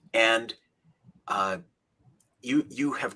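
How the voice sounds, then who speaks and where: A man with an American accent speaks very slowly in a bright, sharp tone. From Minnesota. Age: 60s. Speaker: rabbi and author. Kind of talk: interview conversation. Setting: video call.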